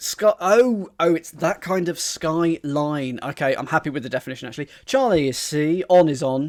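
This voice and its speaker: A fairly high-pitched man speaks with an English accent, lively intonation and a moderate pace. The recording is very clean, with a silent background and a dry, close sound with no echo. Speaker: crossword solver streamer. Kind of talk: live-streamed puzzle solving with chat. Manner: thinking aloud, hesitant.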